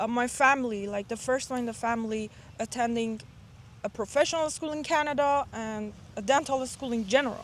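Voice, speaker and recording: A woman with a non-native accent speaks at a high pitch. Her pace is fairly quick, with ordinary pitch variation. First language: not English. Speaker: dental student and admissions mentor. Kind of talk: casual interview.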